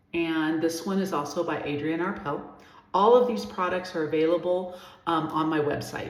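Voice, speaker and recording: A woman with an American accent talks at a moderate pace, with noticeable background noise and audible room echo. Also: fairly low pitch for a woman, ordinary pitch variation. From Southern California. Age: 60s. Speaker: personal stylist. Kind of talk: skincare tutorial. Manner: casual, with many fillers.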